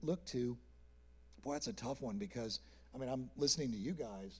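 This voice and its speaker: A man speaks in a somewhat breathy voice. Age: 60s. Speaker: artist manager. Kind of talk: panel discussion.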